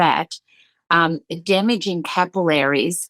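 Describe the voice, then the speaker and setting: A woman speaks in an animated tone. Her pitch varies in an ordinary way. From Australia, Sydney. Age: 60s. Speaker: aesthetician. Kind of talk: interview. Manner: halting, with many repeated words.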